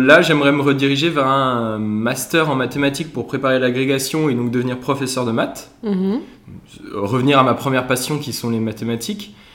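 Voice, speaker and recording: Audible room echo surrounds a man who speaks at a medium pitch and a fairly slow pace. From Alsace, France. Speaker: former engineering student, brass band member. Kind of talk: casual interview chat.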